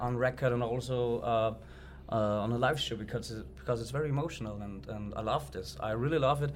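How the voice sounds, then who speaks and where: A man at a medium pitch with an Austrian accent, talking at a fairly quick pace amid audible room echo. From Upper Austria. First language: German. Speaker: metalcore band frontman, co-host. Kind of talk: casual interview chat. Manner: halting, many fillers.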